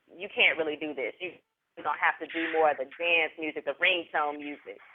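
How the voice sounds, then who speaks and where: A man talks at a fairly quick pace in a Southern US accent. His pitch is high. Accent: Southern US country. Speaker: interviewer. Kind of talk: interview.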